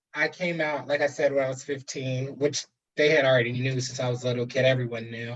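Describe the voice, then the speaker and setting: Very fast, somewhat breathy speech in an American accent, with monotone, flat intonation. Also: man, medium pitch for a man. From New Jersey, US. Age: 20s. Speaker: guest, higher education worker. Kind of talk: personal testimony in interview. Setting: live stream video call.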